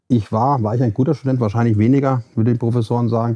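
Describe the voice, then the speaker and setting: The man talks at a medium pitch. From Hesse, Germany (Marburg). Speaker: facility management consultant and founder. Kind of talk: interview. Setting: studio. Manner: halting, many fillers.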